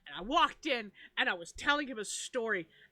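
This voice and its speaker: With lively intonation and a bright, sharp, animated tone, the voice comes through in a very clean recording with a silent background. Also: woman. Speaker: paranormal podcast co-host. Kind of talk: casual chat. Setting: livestream. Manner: loud.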